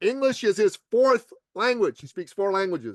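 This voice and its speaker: A man speaks at a moderate pace in an animated tone, his pitch swinging very widely, with a dry, close sound free of echo and a quiet background. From Iran. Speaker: podcast guest, business coach and author. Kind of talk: interview.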